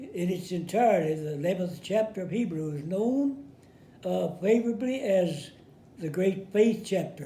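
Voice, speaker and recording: Amid audible room echo, a man with high pitch and a dark, mellow tone speaks fairly slowly with lively intonation. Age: 80s+. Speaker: war veteran. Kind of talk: sermon. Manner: halting.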